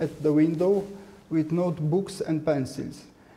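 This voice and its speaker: A man's fairly high voice in a Romanian accent, with fairly even intonation and audible room echo. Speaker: artist and art professor. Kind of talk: lecture. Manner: halting.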